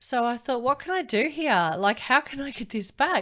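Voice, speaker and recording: At a moderate pace, a woman uses an ordinary speaking voice with lively intonation. The recording is very clean, with a silent background. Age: 50s. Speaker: podcast host and lingerie business owner. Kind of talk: solo podcast monologue. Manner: casual, with frequent fillers.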